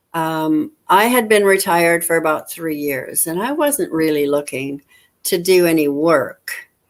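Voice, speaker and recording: Lively intonation marks this woman's normal speaking voice, pitched fairly low and delivered at a fairly slow pace. The recording is very clean, with a silent background. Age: 60s. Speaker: retiree running an online business. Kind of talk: casual video chat.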